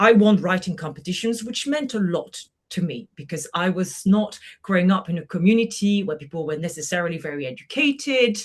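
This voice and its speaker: With a French accent, a woman talks at a fairly quick pace in a medium-pitched, somewhat breathy voice with lively intonation. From France, Brittany. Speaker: journalist and moderator. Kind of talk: podcast interview.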